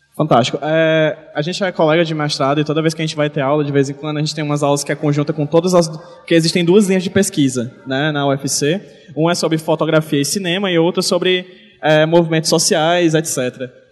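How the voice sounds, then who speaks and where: Through noticeable background noise, a man speaks at a fairly quick pace in a fairly high pitch with fairly even intonation. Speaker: podcast host and comics-writing teacher. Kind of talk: live panel talk at event. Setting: stage with audience in a shopping mall.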